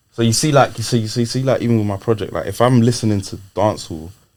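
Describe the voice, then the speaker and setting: Delivered at a very fast pace with ordinary pitch variation, the speech sits on a very clean recording with a silent background. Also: man. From UK, Nigerian heritage. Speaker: rapper. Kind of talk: casual interview chat. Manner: animated.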